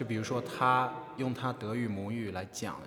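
There is noticeable background noise and audible room echo as a man talks with fairly even intonation. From China. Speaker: podcast host, interviewer. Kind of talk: interview. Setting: on university campus.

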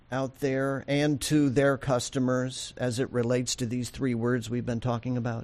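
At a moderate pace with hardly any pauses, a man speaks in a monotone, flat way at a medium pitch. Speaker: podcast host for banking agency. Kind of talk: interview. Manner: formal.

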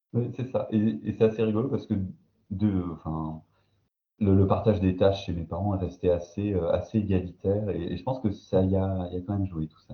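Somewhat breathy, a man speaks at a fairly quick pace and a fairly low pitch with fairly even intonation. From eastern France, Belfort. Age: 30s. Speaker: sociologist. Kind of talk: casual interview. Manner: hesitant.

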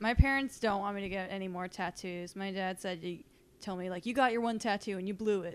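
A woman with an unremarkable speaking voice talks at a fairly quick pace, medium in pitch, with fairly even intonation. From Massachusetts (Boston area). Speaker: comedian. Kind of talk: casual chat.

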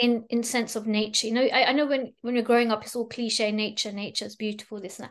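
This woman talks at a very fast pace. She leaves hardly any pauses. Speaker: plane crash survivor and spiritual coach. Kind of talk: interview. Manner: animated.

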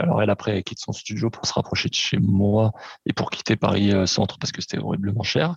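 Fairly quick and fairly low, a man's voice has vocal fry. The sound is dry and close, with no echo. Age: 30s. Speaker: podcast guest. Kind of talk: casual chat.

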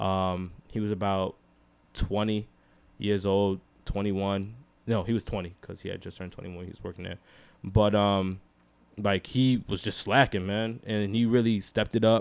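With a New York accent, a man speaks in a fairly low, monotone, flat voice on a very clean recording with a silent background. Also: moderate pace, big swings in loudness. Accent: New York urban. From Rochester, New York. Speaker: podcast guest. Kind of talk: casual chat. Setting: home.

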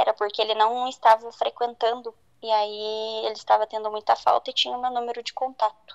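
A woman speaks at a fairly quick pace in a fairly high, monotone voice with flat intonation, the sound dry and close with no echo. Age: 20s. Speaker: guest sharing a personal story. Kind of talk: testimony.

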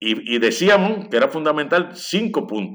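A man speaks fairly slowly with vocal fry and very wide pitch swings. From Puerto Rico, Lares. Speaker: historian and author. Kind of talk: interview.

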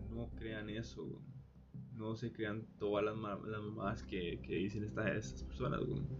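With a Costa Rican accent, a man of fairly low pitch speaks at a very slow pace, his voice making very wide pitch swings amid audible room echo. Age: 20s. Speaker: podcaster. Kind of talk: casual monologue. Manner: halting. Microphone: phone recording.

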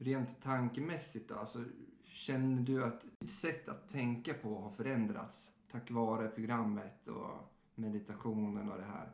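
A man speaks at a fairly slow pace with ordinary pitch variation. His voice sits at a medium pitch, and the room echo is audible. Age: 30s. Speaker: podcast host, recovering alcoholic. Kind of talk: casual chat.

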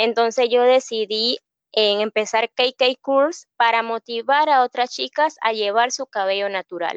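Speaking at a fairly slow pace with fairly high pitch and ordinary pitch variation, a woman uses a normal speaking voice, the sound dry and close with no echo over a quiet background. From Panama, Colón province. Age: 20s. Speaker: hairstylist and beauty pageant contestant. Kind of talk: interview.

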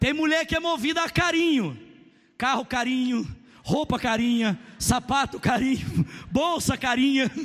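A man speaks at an extremely high pitch in an animated tone, with ordinary pitch variation and very even loudness. His pace is fairly slow, and noticeable background noise is present. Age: 30s. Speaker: pastor. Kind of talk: sermon.

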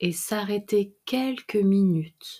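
A woman's calm, soothing voice at a medium pitch, with ordinary pitch variation, in a very clean recording with a silent background. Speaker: meditation guide. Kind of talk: guided meditation. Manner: slow, calm, soothing; gentle, measured, with long pauses.

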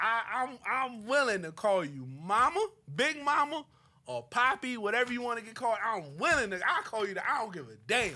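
Extremely high in pitch, a man's raised, projected voice carries across. His intonation is lively. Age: 30s. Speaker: wrestling podcast co-host. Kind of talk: casual chat. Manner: animated.

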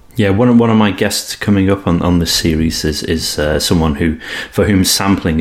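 A man with a British accent and a very deep, low pitch, ordinary pitch variation, a fairly quick pace and noticeable background noise. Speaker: podcast host. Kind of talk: interview.

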